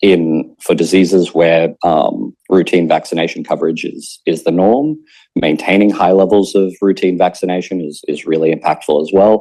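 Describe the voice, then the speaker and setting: Very deep and low in pitch, this man speaks with an Australian accent. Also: ordinary pitch variation. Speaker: conference speaker, PhD researcher. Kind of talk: conference talk. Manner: fast.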